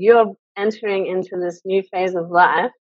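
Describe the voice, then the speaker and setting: A woman's medium-pitched voice with an Australian accent, ordinary pitch variation and a moderate pace, dry with no echo, over a quiet background. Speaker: women's circle founder; interview guest. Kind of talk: interview. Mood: relaxed, cheerful. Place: home room. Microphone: video call.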